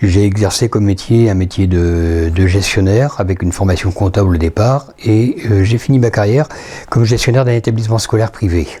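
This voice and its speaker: A man's fairly low voice at a fairly quick pace, with very even loudness and ordinary pitch variation. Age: 60s. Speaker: retired school administrator, church lay associate. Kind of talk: testimony interview. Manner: halting.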